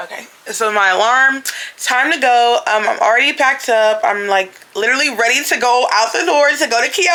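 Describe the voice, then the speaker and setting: Noticeable background noise sits behind a woman with a high pitch. She speaks at a moderate pace with lively intonation. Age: 20s. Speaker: travel vlogger. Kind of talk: travel vlog.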